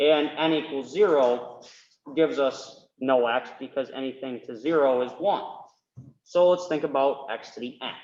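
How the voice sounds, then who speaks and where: A man talks at a moderate pace in a fairly high pitch, with an ordinary speaking voice. His loudness swings widely. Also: ordinary pitch variation. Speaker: math tutor. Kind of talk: tutorial.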